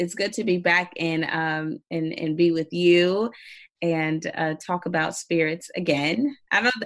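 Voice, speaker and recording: A woman with an unremarkable speaking voice and fairly low pitch talks at a fairly slow pace. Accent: American. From Indiana. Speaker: spirits trade marketer and podcaster. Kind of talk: casual interview chat.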